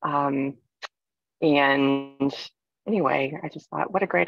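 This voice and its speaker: A woman with a very deep, low pitch speaks against a quiet background. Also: dry sound with no echo. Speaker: therapist and meditation guide. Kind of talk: guided meditation. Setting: recorded live from a parked car, outdoors. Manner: calm, soothing, slow. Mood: calm, soothing. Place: car. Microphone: phone near.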